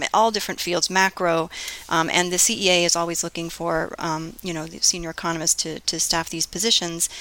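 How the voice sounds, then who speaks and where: Over noticeable background noise, a woman with an American accent talks at a fairly quick pace in a fairly low voice. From US, Florida (Fort Lauderdale area). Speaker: economics professor. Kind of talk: interview.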